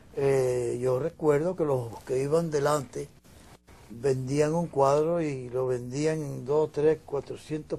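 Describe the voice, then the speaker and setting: Very slowly, a man with a fairly high pitch speaks in a dark, mellow, somewhat breathy tone, with fairly even intonation and big swings in loudness. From Dominican Republic. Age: 80s+. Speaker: painter. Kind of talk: interview.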